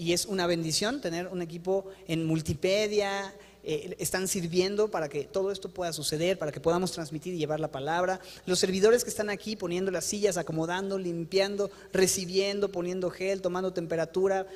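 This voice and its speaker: This man's voice is high in pitch. He talks at a fairly quick pace. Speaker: pastor. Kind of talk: sermon. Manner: fast; animated.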